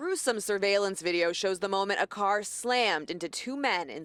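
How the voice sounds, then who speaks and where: In an ordinary speaking voice, a woman of medium pitch speaks at a moderate pace with lively intonation, the sound dry and close with no echo. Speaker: television news reporter. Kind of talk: TV news field report, reporter reel.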